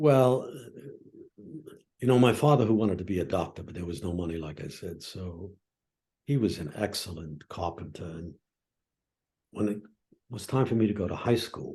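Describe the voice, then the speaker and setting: Speaking with an American accent, a man uses a fairly low pitch, a dark, mellow tone, and lively intonation, sounding somewhat breathy, with big swings in loudness and long, frequent pauses. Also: moderate pace. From Brooklyn, New York, US. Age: 80s+. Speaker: professor of psychology. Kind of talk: interview conversation. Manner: reflective storytelling.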